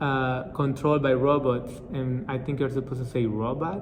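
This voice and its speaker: Noticeable noise sits in the background. A man speaks with a Spanish accent. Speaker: multilingual vlogger. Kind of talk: casual talk to camera.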